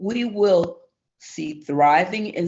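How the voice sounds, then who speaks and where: A woman speaks at a very slow pace. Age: 60s. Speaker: public witness. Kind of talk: testimony. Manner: reading prepared statement.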